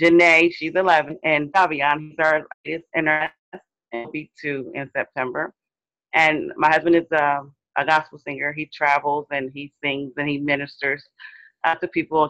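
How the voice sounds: A woman's low-pitched voice, fairly bright in tone, at a moderate pace with little pitch movement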